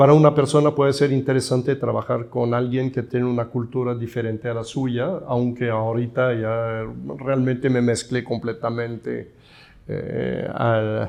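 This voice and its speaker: A man with a Swiss accent talks at a fairly slow pace, his medium pitch held in a monotone, flat intonation. The background is quiet. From Switzerland. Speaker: architect and professor. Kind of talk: interview.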